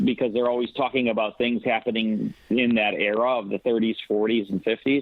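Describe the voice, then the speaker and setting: A man's plain, everyday voice, a plain, everyday voice at medium pitch with fairly even intonation. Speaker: old-time radio producer, actor, director and syndicated radio host. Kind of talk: interview answer about old-time radio.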